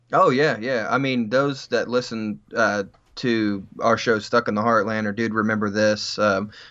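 An ordinary speaking voice from a man at medium pitch, with fairly even intonation and a fairly slow pace. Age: 30s. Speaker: podcaster. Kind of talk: casual chat.

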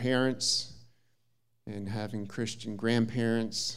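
Audible room echo around a man's fairly slow delivery. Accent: American. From US Midwest, southern Minnesota. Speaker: visiting preacher. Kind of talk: sermon. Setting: church.

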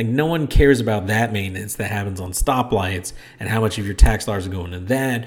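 A man's animated, somewhat breathy voice, fairly low in pitch, at a fairly quick pace, with ordinary pitch variation and big swings in loudness. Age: 30s. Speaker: podcast host. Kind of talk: casual chat. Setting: home office with echo.

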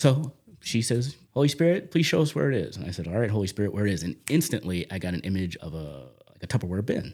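With an American accent, a man speaks at a very fast pace. His fairly low pitch swings very widely. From US Northeast, South Jersey near Camden. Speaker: church prayer coordinator. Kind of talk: faith testimony interview.

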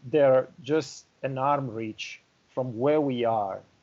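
A man with an Italian accent, medium pitch, dark and mellow tone, ordinary pitch variation and a fairly slow pace. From northern Italy (Milan, Lombardy). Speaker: winery export director. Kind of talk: interview.

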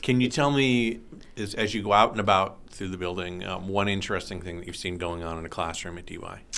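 A very deep, low man's voice with a bright, sharp tone, very fast pace, ordinary pitch variation, big swings in loudness and audible room echo. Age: 50s. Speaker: high school teacher and podcast host. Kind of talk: casual interview.

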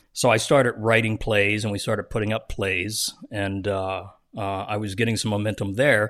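In an American accent, a man with a fairly low pitch talks at a moderate pace in a monotone, flat intonation against a quiet background. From US Northeast, South Jersey. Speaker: TV writer, director and producer. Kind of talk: interview, casual chat.

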